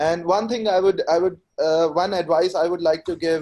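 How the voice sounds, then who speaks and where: The voice carries an Indian accent and a dark, mellow tone. Its intonation is fairly even. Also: man. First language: Hindi. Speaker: IELTS test taker. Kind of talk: webinar discussion.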